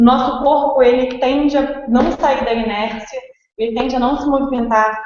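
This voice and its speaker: A woman's high-pitched voice. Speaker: fitness instructor and gym co-founder. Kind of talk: webinar presentation. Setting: live online webinar.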